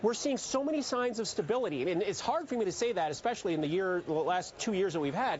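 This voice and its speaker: With a slight Canadian accent, a man speaks at a fairly quick pace in a high pitch, his intonation lively. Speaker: chief market strategist. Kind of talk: TV interview.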